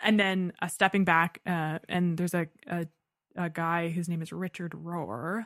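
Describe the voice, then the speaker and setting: This woman has a normal speaking voice with a fairly low pitch. She talks at a fairly slow pace with fairly even intonation. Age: 20s. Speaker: voice student and painter. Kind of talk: casual chat.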